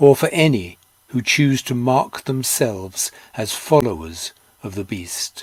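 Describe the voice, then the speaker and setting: With an unremarkable speaking voice, a man talks at a medium pitch. His intonation is lively, and his loudness swings widely. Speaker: Bible reader. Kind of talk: scripture reading.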